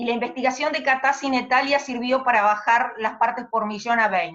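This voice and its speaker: A high-pitched woman at a moderate pace, with ordinary pitch variation. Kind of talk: interview questions.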